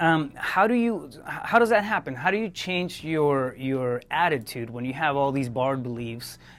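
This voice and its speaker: A man with a non-native accent, fairly high pitch, lively intonation, big swings in loudness and a moderate pace. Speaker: podcast host. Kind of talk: interview. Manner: halting, many fillers and repetitions.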